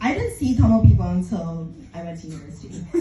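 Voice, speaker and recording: A woman's voice with audible room echo. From Scotland, Aberdeen. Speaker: comedian. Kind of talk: stand-up.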